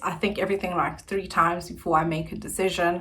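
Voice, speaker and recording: Audible room echo surrounds a woman's bright, sharp tone. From South Africa, Centurion, Gauteng. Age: 20s. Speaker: YouTuber. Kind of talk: casual vlog chat.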